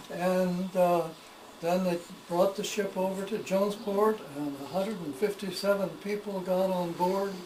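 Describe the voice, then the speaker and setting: Against noticeable background noise, a man with a high pitch talks at a fairly slow pace in a monotone, flat intonation. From Maine, USA. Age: 80s+. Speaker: historian and storyteller. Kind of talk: casual talk to camera, home tour.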